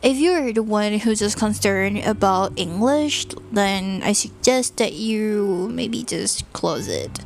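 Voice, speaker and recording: Over music in the background, a woman with a Thai accent talks very slowly at a fairly high pitch, with ordinary pitch variation and hardly any pauses. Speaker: sleep talk channel host. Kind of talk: casual monologue to help listeners sleep. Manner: deliberately slow; calm.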